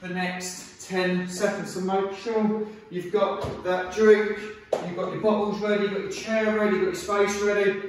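A man's high-pitched voice in a flat monotone at a moderate pace, with strong room echo and noticeable background noise. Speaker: fitness instructor. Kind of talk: workout instruction. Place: empty room.

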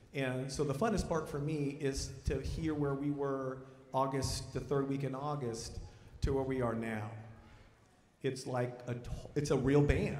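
In a room with audible echo, a man speaks at a fairly slow pace with fairly even intonation and long, frequent pauses. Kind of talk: concert announcement to audience. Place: stage. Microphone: handheld.

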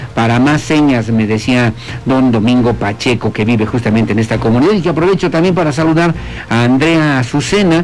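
Fairly quick, lively intonation from a man with an ordinary speaking voice, medium pitch and very even loudness, with light background noise. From Mexico. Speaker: radio news host. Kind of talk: reading listener messages on morning news show. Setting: broadcasting from a hotel restaurant. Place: studio. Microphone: studio mic.

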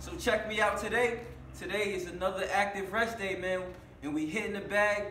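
Against light background noise and audible room echo, a man speaks in a raised, projected voice at a moderate pace. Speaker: fitness vlogger. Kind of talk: casual vlog chat. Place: gym. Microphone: camera far.

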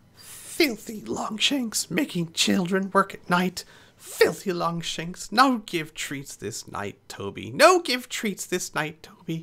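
This is a man doing a squeaky, high-pitched put-on character voice. He hardly pauses at all. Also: fairly slow pace. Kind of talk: broken, primitive grammar.

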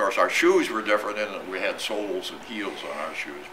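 A man speaks at a moderate pace with an American accent. Noticeable background noise runs under his voice. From Iowa, USA. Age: 80s+. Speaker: war veteran. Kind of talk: talk to an audience.

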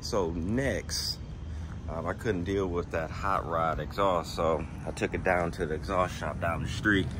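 Fairly slow male speech, very deep and low, against noticeable background noise. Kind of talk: casual vlog chat. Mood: relaxed, pleased. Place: street. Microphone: phone near.

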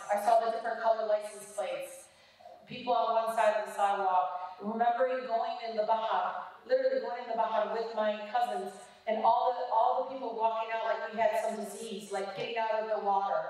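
In a quiet background with strong room echo, a woman with an American accent talks fairly quickly at a fairly high pitch. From Detroit, USA. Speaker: politician. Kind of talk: public speech. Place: hall.

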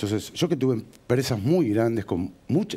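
A man talks at a fairly slow pace in a dark, mellow tone, his pitch swinging very widely. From Argentina, Morón (Buenos Aires); Buenos Aires, Argentina. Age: 40s. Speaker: builder and real estate businessman, local politician; local politician. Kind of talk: TV interview. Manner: animated. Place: studio. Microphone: headset.

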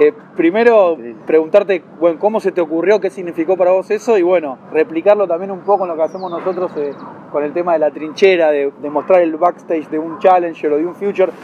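Light background noise accompanies a man with a Rioplatense accent who speaks at a high pitch with ordinary pitch variation. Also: fairly quick pace. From Argentina. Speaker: tennis channel interviewer. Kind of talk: interview. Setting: tennis club. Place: garden.

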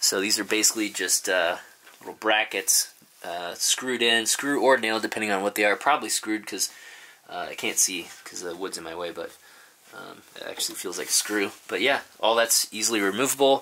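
A man talks at a fairly quick pace in a fairly low pitch. He has a normal speaking voice. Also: ordinary pitch variation. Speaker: vlogger showing his bus build. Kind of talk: casual vlog chat. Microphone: phone near.

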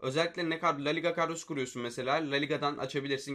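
A man talks at a very fast pace in a bright, sharp tone. The background is quiet. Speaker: gaming YouTuber. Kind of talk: casual commentary on viewer submissions. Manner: animated.

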